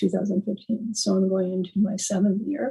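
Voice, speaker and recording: A woman's dark, mellow, somewhat breathy voice with an American accent, medium pitch, fairly even intonation and a moderate pace. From Miami, Florida. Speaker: metastatic breast cancer patient. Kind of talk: panel discussion.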